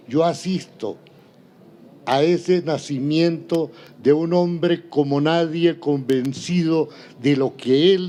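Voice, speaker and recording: A man speaks at a very slow pace with long, frequent pauses. His tone is dark and mellow, and his pitch is fairly high. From Colombia, Santander. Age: 80s+. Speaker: retired linotype operator. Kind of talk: interview.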